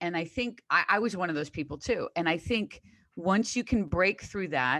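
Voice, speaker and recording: Over a quiet background, a woman speaks at a moderate pace with lively intonation, a fairly low pitch and a bright, sharp tone. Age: 60s. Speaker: fitness coach. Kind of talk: casual chat.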